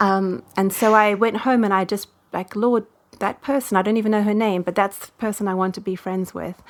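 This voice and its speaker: With a South African accent, a woman speaks fairly quickly at a medium pitch in a monotone, flat delivery with big swings in loudness, on a very clean recording with a silent background. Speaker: women's ministry leader. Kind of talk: interview answer.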